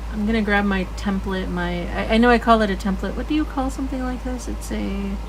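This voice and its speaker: A woman's relaxed, fairly quick delivery with hardly any pauses, amid audible room echo and noticeable background noise. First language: not English. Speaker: art tutorial livestreamer. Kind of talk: live drawing tutorial. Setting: livestream. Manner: relaxed, conversational.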